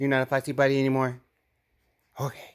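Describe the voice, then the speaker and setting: A soft-spoken man at a fairly high pitch and moderate pace, in a dry, close sound with no echo. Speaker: father. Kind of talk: soothing talk to a baby. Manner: gentle, soft-spoken.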